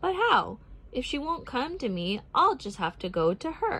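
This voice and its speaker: Putting on a character voice, a woman speaks in a gentle tone at a high pitch that swings very widely. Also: moderate pace. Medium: read story. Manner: gentle, earnest.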